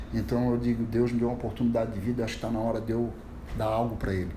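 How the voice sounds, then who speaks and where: With audible room echo around him, a man speaks in a dark, mellow tone. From Santa Catarina, Brazil (Itajaí). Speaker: surf teacher running a social surf project. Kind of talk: casual chat.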